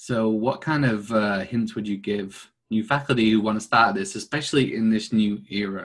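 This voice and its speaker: A man's normal speaking voice, fairly low in pitch, at a moderate pace with fairly even intonation and hardly any pauses. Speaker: podcast host. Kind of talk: interview.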